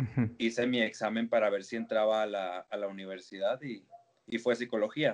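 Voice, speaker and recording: The speaker has an ordinary speaking voice, with fairly even intonation at a moderate pace. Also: man. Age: 20s. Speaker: psychologist and lecturer. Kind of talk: interview.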